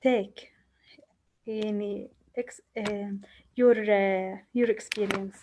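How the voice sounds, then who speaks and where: A woman with a non-native accent speaks at a very slow pace with long, frequent pauses. Her medium-pitched voice has a dark, mellow tone and monotone, flat intonation. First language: Arabic. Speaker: psychologist. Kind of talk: participant sharing. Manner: halting, many fillers.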